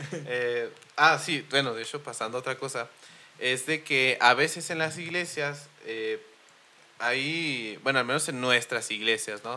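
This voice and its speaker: Using an ordinary speaking voice, a man with a medium pitch talks at a fairly slow pace with ordinary pitch variation. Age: 20s. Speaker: podcast host. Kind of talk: casual chat.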